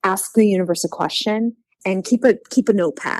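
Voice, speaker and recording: Recorded in a dry, close sound with no echo, a woman has a plain, everyday voice at a medium pitch with ordinary pitch variation. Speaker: psychic medium. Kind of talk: casual chat.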